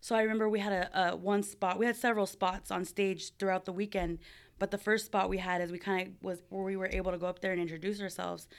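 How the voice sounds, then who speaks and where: A woman with a Californian accent talks very fast at a medium pitch in a flat monotone. The recording is very clean, with a silent background. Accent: Californian American. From Southern California (Buena Park). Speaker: barber and area coach. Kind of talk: interview storytelling. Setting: in person, Southern California.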